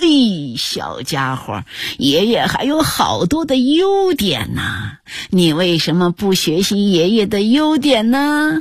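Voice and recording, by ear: Putting on a character voice, a woman with a medium pitch speaks slowly with very wide pitch swings.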